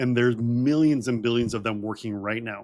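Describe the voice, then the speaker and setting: This man has an ordinary speaking voice, medium in pitch, and talks at a fairly quick pace. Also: very clean recording, silent background. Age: 40s. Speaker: health doctor and co-host. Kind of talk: casual explanation.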